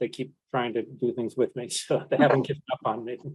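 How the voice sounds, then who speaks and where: Someone with an American accent speaks in a normal speaking voice at a moderate pace with fairly even intonation. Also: man. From New York. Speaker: panelist living with Parkinson's. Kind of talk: panel discussion.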